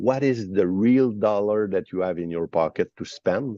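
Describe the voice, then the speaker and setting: The pace is moderate. A man speaks in a Quebec accent. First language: French. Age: 50s. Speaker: financial advisor, company founder. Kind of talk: webinar discussion. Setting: at an airport.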